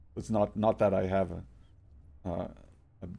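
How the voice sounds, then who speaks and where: A man's very deep, low voice with a dark, mellow tone and a Portuguese accent, flat and monotone, at a fairly quick pace. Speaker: game streamer. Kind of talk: casual live-stream chat. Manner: halting, many repetitions and fillers.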